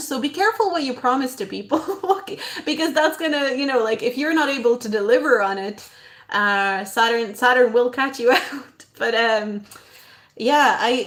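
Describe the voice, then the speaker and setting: A woman's high-pitched voice at a moderate pace with ordinary pitch variation. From abroad, moved to Ireland at about eleven. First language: not English. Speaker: astrologer. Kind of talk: casual live stream talk. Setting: live stream. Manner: hesitant, many fillers.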